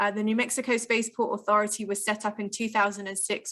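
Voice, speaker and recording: A woman talks at medium pitch with an English accent and a bright, sharp tone. The recording is very clean, with a silent background. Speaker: spaceport public relations officer. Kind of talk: podcast interview. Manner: frequent filler 'um'.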